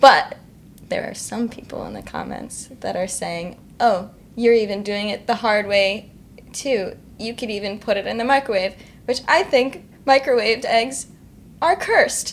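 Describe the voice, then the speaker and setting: A woman with an American accent speaks at a moderate pace, her fairly high voice showing ordinary pitch variation. Her loudness swings widely, and she takes long, frequent pauses. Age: young. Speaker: indie singer-songwriter. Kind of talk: casual interview chat. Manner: matter-of-fact.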